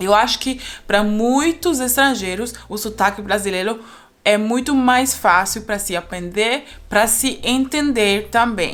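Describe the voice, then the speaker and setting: A woman at a fairly high pitch, fairly slow pace and ordinary pitch variation. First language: not Portuguese; learned Brazilian Portuguese (speaking Portuguese). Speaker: polyglot YouTuber. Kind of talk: casual vlog monologue. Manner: halting, with fillers.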